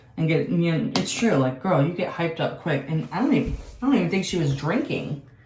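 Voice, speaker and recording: A woman's very fast speech with lively intonation and a fairly low pitch, plus audible room echo and noticeable background noise. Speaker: beauty and reality TV vlogger. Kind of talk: casual chat.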